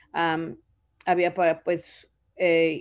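The background stays quiet while a woman speaks. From Zoogocho, Oaxaca, Mexico. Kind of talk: casual interview about her life story. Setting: video call. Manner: hesitant, with repetitions and fillers. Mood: reflective, grateful. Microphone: video call.

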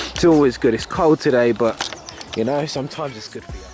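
Over clear background music, a man talks with ordinary pitch variation in a dry sound with no echo. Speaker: fitness vlogger. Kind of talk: casual vlog chat. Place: open country. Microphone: phone near.

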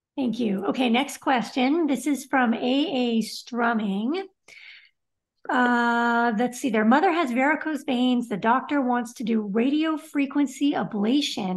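A woman with a high pitch and lively intonation speaks at a fairly slow pace over a quiet background. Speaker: show host. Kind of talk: live stream Q&A moderation. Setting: video call. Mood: friendly, smiling. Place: home room. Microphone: video call.

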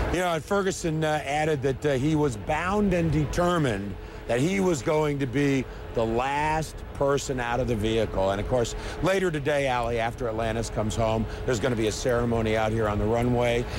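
The speech moves at a fairly quick pace with lively intonation. The sound is dry with no echo, though background noise is noticeable. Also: man. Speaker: field reporter. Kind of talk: live news report. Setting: outdoors. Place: open country.

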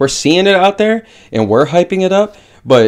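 A man speaks at a fairly quick pace with lively intonation. The background is quiet. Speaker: MMA show host. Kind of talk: commentary. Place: home room. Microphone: webcam.

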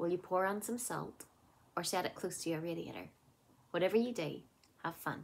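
A woman's fairly low, upbeat voice with vocal fry and ordinary pitch variation, at a fairly quick pace broken by long, frequent pauses. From Northern Ireland. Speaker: primary school teacher and circus performer. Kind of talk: children's craft tutorial to camera. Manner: upbeat, friendly. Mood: cheerful, warm. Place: home room. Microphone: phone near.

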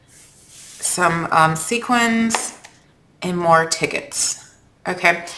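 Over noticeable background noise, a woman speaks very slowly at a fairly low pitch with ordinary pitch variation. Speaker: craft video creator. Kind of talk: tutorial. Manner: casual, many fillers.

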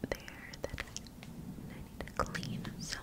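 Speaking at a very slow pace, a woman is heard. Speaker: ASMR creator. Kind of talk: ASMR personal attention role play. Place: home room. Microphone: studio mic.

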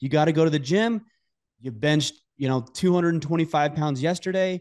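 Over a quiet background, the man talks at a fairly slow pace in a fairly high pitch that varies in an ordinary way. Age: 40s. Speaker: podcast host. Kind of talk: casual interview conversation. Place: home room. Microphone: studio mic.

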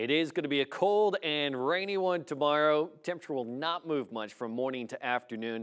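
Against a quiet background, a man with a fairly high voice talks at a fairly quick pace with lively intonation and hardly any pauses. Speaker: TV meteorologist. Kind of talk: weather report. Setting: TV studio. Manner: brisk, clear and conversational, like a TV weather broadcast. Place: studio.

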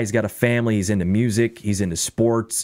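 A man at a moderate pace, with a fairly low pitch, ordinary pitch variation and an ordinary speaking voice. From Illinois Midwest, raised in a small town. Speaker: radio broadcaster, sports radio programming director and voiceover artist. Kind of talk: casual podcast interview answer.

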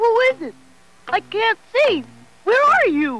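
Someone performs a put-on character voice at extremely high pitch. The pace is fairly slow, with very wide pitch swings. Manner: pleading, then impatient.

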